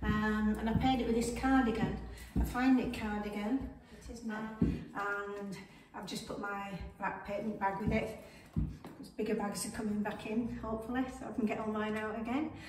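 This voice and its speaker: A woman talks at a moderate pace in a monotone, flat intonation, with light background noise and audible room echo. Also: fairly high pitch for a woman. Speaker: fashion vlogger. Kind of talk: casual talk to camera. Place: home room. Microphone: camera far.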